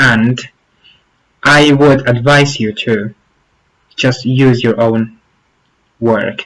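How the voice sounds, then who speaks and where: Spoken with an Arabic accent, the words come at a very slow pace with long, frequent pauses and fairly even intonation. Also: man. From Morocco, Zagora. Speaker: youtuber, former exchange teaching assistant. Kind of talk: tutorial.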